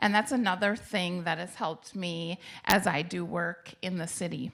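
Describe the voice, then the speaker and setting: With a Minnesotan accent, a woman speaks at medium pitch in a bright, sharp tone on a very clean recording with a silent background. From Minnesota, Coon Rapids. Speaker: mayor and family law attorney. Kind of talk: public interview on stage.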